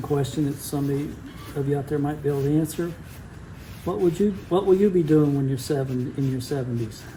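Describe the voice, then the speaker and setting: In a room with audible echo, a man with a fairly high pitch speaks at a very fast pace with ordinary pitch variation. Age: 70s. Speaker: guitar builder. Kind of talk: casual workshop vlog. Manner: halting.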